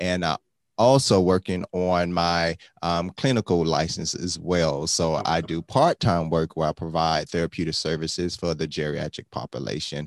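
A man with an American accent and a very deep, low pitch, at a moderate pace, in a dry, close sound with no echo. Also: ordinary pitch variation. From Miami, Florida. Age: 40s. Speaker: wellness coach and author. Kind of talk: casual interview.

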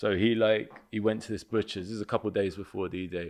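A man speaks with a London accent. His intonation is monotone and flat. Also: quiet background. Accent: London English, multicultural. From West London (Kilburn/Willesden). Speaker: comedian and actor. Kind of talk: casual chat.

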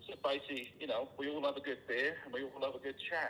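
This man has a British accent. He speaks at a fairly quick pace. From United Kingdom. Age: 40s. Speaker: general contractor, business owner. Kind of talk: casual chat. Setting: phone call.

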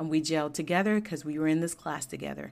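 A woman with an American accent talks in a normal speaking voice at a fairly low pitch, her intonation lively. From Georgia, US South. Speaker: podcast host, engineer. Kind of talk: solo podcast monologue. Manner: casual, conversational.

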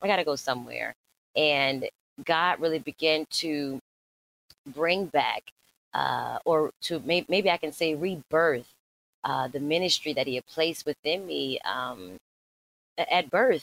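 A woman with an American accent and a very deep, low voice, fairly slow, ordinary pitch variation, very clean recording with a silent background, dry and close with no echo. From US South, Norfolk, Virginia. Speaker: preacher and teacher. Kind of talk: testimony interview.

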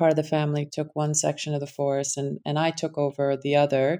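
This woman has a Connecticut accent and a dark, mellow tone. The recording is very clean, with a silent background. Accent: Connecticut American. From US Connecticut. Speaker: impact investing founder. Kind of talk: casual interview conversation.

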